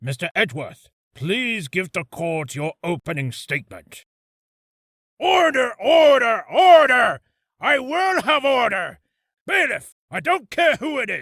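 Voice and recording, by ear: In a dry, close recording with no echo, a man does a put-on character voice at an extremely high pitch, swinging very widely in pitch at a fairly slow pace.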